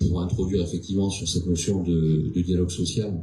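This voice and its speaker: A man's very deep, low voice at a moderate pace, with fairly even intonation and audible room echo. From France, Dordogne (Périgord). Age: 40s. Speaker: company director. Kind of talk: panel discussion.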